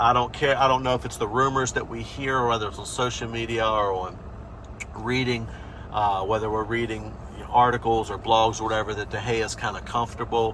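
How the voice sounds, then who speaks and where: A man with an American accent speaks at a medium pitch and a fairly quick pace, his intonation monotone and flat. Noticeable background noise and audible room echo fill the recording. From USA. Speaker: football fan channel host. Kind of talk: opinion vlog, season review. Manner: casual, many fillers.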